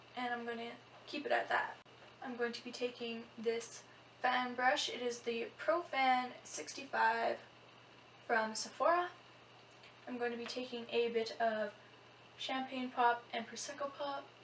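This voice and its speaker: A woman talks at a high pitch and a fairly slow pace, with fairly even intonation. Long, frequent pauses break her speech over noticeable background noise. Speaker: beauty vlogger. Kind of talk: tutorial. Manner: soft-spoken.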